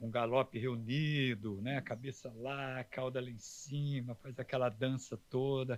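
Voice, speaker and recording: An ordinary speaking voice from a man, medium in pitch, with fairly even intonation. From southern Minas Gerais, Brazil. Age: 60s. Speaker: horse trainer. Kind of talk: casual interview chat.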